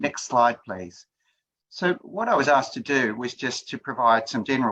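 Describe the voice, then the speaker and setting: Using an Australian accent, a man speaks at a moderate pace in a bright, sharp tone, with medium pitch and ordinary pitch variation. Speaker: HIV prevention researcher. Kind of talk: presentation.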